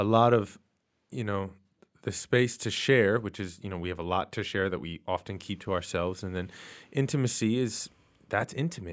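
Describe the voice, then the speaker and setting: A man with an American accent speaks in a normal speaking voice, fairly low in pitch, with ordinary pitch variation. His pace is moderate on a very clean recording with a silent background. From New York City, Queens. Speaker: podcast host and author, guest host. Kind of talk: casual chat.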